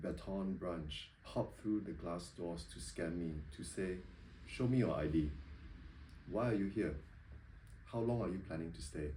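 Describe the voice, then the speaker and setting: A man with a Singaporean accent speaks at a very deep, low pitch in a dark, mellow, somewhat breathy tone. His fairly slow delivery has lively intonation, and room echo is audible. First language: not English. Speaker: poet. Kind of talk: poetry reading. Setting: bookshop reading with audience. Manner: hesitant, many ums when talking.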